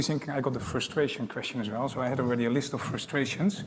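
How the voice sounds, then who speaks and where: This man has a Dutch accent. His pitch is medium and its variation is ordinary. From Netherlands. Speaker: airport executive. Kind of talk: panel discussion.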